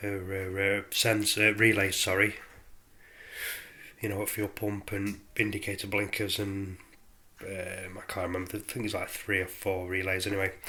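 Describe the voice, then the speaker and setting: Bright and sharp in tone, a fairly low-pitched man with a British accent speaks at a moderate pace in a monotone, flat intonation, leaving long, frequent pauses. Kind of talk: casual DIY tutorial to camera. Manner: hesitant, casual.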